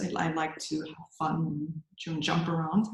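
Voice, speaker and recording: A woman with a German accent speaks at a fairly slow pace. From Germany. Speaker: yoga teacher. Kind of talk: interview. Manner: halting.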